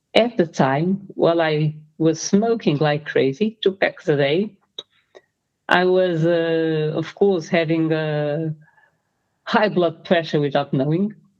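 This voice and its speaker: A woman speaks at a very slow pace and a fairly low pitch. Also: ordinary pitch variation. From Portugal. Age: 60s. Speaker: freediving athlete and coach. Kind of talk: interview.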